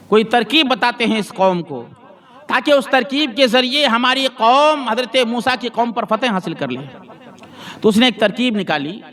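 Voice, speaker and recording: Behind noticeable background noise, a man's pitch moves with ordinary variation. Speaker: Islamic scholar giving a Quran lesson. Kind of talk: religious sermon, weekly Quran lesson. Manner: preaching, storytelling, emphatic.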